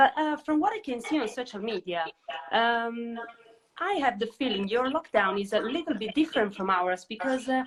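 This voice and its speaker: With lively intonation, a woman talks at a moderate pace in a fairly high pitch. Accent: Italian. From Italy. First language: Italian. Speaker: interviewer. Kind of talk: casual interview. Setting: social media live video.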